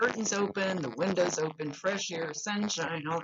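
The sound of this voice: A woman's fairly low, fairly bright voice with a slightly husky edge, lively intonation and a moderate pace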